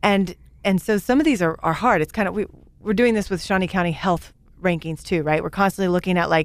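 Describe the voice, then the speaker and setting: A woman talks at a very fast pace. Her medium-pitched voice shows ordinary pitch variation. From Kansas (Great Bend). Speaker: business show host. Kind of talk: interview.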